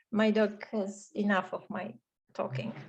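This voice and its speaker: A woman speaks in a Polish accent with a somewhat breathy voice. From Poland, Warsaw. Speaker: webinar presenter. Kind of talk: online webinar moderation.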